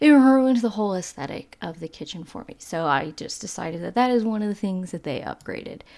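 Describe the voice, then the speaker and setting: Over a very clean recording with a silent background, the speaker uses a slight Texas accent, very wide pitch swings and hardly any pauses. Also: woman, medium pitch for a woman. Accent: Southern accent, slight Texas drawl. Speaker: video game YouTuber. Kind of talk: casual commentary over gameplay. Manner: casual, filler-heavy.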